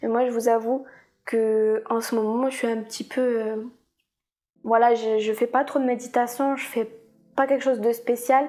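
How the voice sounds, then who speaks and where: At a fairly slow pace, a woman with a high pitch speaks in a monotone, flat intonation and takes long, frequent pauses. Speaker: vlogger. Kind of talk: personal confession vlog. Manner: hesitant, repeats words.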